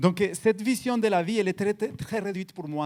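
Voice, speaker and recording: A man talks at a moderate pace in a high pitch, with ordinary pitch variation. The sound is dry and close with no echo, very clean, over a silent background. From Colombia, Cali. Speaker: guest preacher. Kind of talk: sermon. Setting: church. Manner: halting, repeats words.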